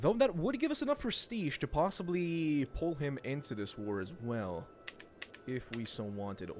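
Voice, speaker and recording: A man with a fairly high pitch talks at a moderate pace, his pitch swinging very widely. Music plays in the background. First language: not English. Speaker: gaming streamer. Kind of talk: let's play commentary. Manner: casual, hesitant with fillers.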